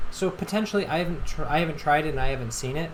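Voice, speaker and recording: A man's pitch moves in a normal, typical range. The room echoes audibly, and background noise is clearly present. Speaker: gaming YouTuber and streamer. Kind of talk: channel announcement to viewers; casual gaming commentary. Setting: live stream. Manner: stuttering, halting.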